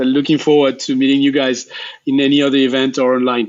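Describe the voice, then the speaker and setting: Speaking quickly, a man with a French accent uses a fairly high pitch. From Geneva, Switzerland. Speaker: refugee agency staff member. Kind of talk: interview. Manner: halting.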